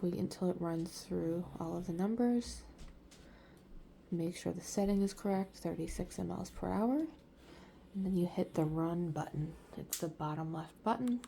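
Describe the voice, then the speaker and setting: Soft-spoken and somewhat breathy, a woman with a fairly low pitch and ordinary pitch variation leaves long, frequent pauses. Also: moderate pace. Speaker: caregiver. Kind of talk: tutorial. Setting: bedroom at home.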